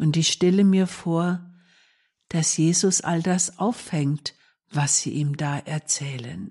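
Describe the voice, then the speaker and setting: Speaking at a very slow pace, a woman uses a fairly low pitch with ordinary pitch variation. Her tone is calm, soothing, dark and mellow, and somewhat breathy. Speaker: nun presenting a radio meditation. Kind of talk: reflective devotional talk. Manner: calm, soothing, gentle.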